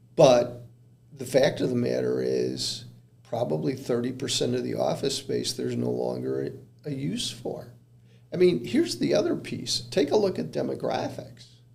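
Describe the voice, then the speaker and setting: Room echo can be heard as a man speaks at a moderate pace. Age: 60s. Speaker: commercial real estate consultant. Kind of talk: podcast interview. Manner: hesitant, many fillers.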